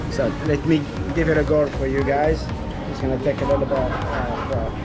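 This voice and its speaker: A man speaks over loud music in the background. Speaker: travel vlogger. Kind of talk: casual vlog chat. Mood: cheerful, playful. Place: cafe. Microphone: phone near.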